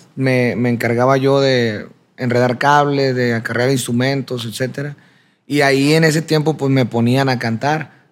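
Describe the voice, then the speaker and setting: With a plain, everyday voice, a man talks at a medium pitch and fairly slow pace, his intonation fairly even and his loudness very even, on a very clean recording with a silent background. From Sinaloa, Mexico (Culiacán area). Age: 30s. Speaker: singer. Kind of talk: interview.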